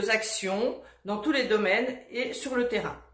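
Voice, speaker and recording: Audible room echo and noticeable background noise surround a woman speaking with fairly even intonation. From France, Burgundy (Saulieu). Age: 60s. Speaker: retired health manager, election candidate. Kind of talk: campaign self-presentation. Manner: hesitant, with fillers.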